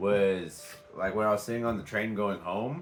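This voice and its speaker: With music in the background, a man speaks at a fairly slow pace in an American accent. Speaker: vlogger. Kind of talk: casual vlog talk. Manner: halting, many fillers.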